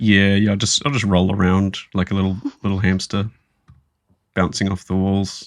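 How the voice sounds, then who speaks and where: A man with a fairly low pitch and an Australian accent speaks in a monotone, flat way at a moderate pace, with long, frequent pauses. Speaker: gaming podcast co-host. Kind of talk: casual chat.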